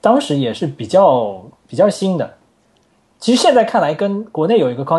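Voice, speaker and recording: This man's tone is dark and mellow. His pitch rises and falls across a very wide range. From China, Wuxi (Jiangsu). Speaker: software engineer and framework author. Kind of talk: technical interview chat. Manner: animated.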